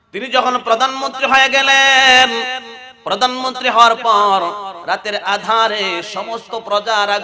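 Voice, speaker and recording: A man shouts in an extremely high pitch, his voice raised and projected. Noticeable background noise runs underneath. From Bangladesh, Narsingdi; Bangladesh. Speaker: Islamic preacher. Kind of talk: sermon. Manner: loud, shouting; animated. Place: stage. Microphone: podium.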